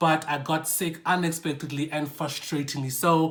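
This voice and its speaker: An animated delivery with a bright, sharp tone. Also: man. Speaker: football YouTuber. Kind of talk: casual vlog.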